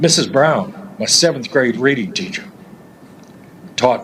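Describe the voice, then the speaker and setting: A man talks fairly slowly as noticeable noise sounds in the background. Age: 60s. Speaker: public commenter at county meeting. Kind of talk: public comment speech. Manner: animated.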